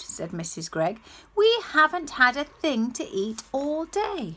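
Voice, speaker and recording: A female-sounding put-on character voice sits at a high pitch. It makes very wide pitch swings. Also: fairly slow pace. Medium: read story.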